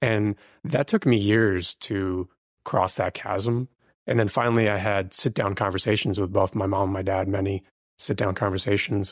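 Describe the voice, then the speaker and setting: An unremarkable speaking voice from a man, fairly low in pitch with fairly even intonation at a moderate pace, in a very clean recording with a silent background and a dry, close sound without echo. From born in Ukraine, came to the US as a refugee. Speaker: podcast guest. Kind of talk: casual chat. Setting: in-person recording in Austin, Texas.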